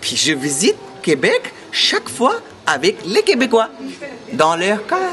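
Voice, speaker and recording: A man talks at a very slow pace while music plays behind him. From India. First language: an Indian language (speaking French). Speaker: tour guide. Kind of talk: interview, promotional. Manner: halting, many hesitations and repetitions.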